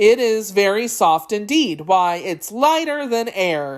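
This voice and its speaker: In a put-on character voice, the speaker delivers lines at a fairly high pitch and a fairly slow pace. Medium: read story.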